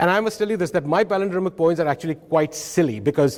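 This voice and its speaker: A man speaks very fast in an Odisha accent. His intonation is lively. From India (Odisha). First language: Oriya. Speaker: professor. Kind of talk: conference talk. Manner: animated.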